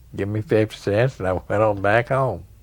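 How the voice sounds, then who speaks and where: A man with an East Tennessee accent, medium pitch, ordinary pitch variation and a fairly slow pace. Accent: East Tennessee Southern US. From Tennessee, US South. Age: 70s. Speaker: pool player. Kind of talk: interview storytelling. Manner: halting, with fillers.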